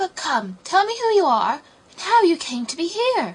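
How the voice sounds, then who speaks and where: A squeaky, put-on character voice is heard. Its pitch swings very widely. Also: woman, extremely high pitch for a woman, moderate pace. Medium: read story.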